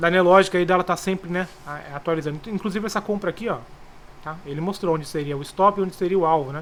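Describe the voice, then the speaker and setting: Speaking very fast at a high pitch, a man keeps his intonation fairly even. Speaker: trading tutorial youtuber. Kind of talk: tutorial. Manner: casual.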